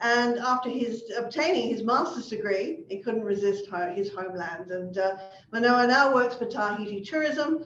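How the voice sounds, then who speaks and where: A woman's normal speaking voice, fairly high in pitch, with lively intonation at a moderate pace. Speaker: event host. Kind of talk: speaker introduction.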